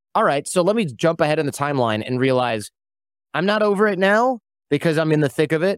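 This man has an unremarkable speaking voice, with ordinary pitch variation and a fairly quick pace. The recording is very clean with a silent background, and the sound is dry and close with no echo. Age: 40s. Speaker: podcaster and entrepreneur. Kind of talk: casual interview conversation.

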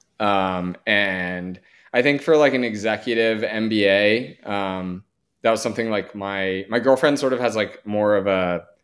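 In an unremarkable speaking voice, a man talks at a fairly low pitch with fairly even intonation. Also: very clean recording, silent background. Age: 30s. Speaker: MBA student and military veteran. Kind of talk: casual interview.

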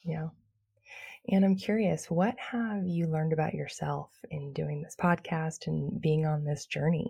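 Speaking at a fairly slow pace, a woman has a very deep, low voice with a dark, mellow, soothing tone, somewhat breathy, with ordinary pitch variation. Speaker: podcast host and birth class teacher. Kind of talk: casual interview chat.

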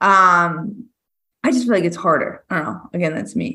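A woman speaks in a medium pitch at a moderate pace, with ordinary pitch variation. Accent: American. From Massachusetts. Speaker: firefighter. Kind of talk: casual chat. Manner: loud.

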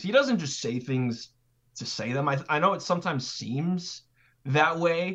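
With an American accent and a plain, everyday voice, a man talks at a moderate pace using lively intonation. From California. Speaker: sports reporter. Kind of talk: casual interview.

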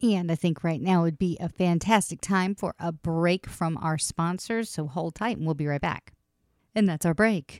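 In a plain, everyday voice, a woman with fairly low pitch speaks at a moderate pace with ordinary pitch variation, the recording very clean, dry and close with no echo and a silent background. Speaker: podcast host. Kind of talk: casual chat.

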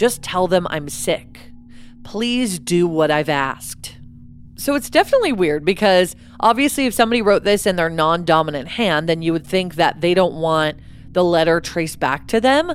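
An unremarkable speaking voice from a woman, fairly low in pitch, with lively intonation at a moderate pace. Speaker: true crime podcast co-host. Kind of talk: true-crime narration, reading a ransom note aloud then chatting.

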